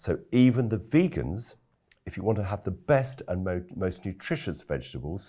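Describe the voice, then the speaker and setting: In a very clean recording with a silent background, a man's dark, mellow voice shows vocal fry and very wide pitch swings. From London, England. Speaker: organic farmer and food campaigner. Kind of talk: interview.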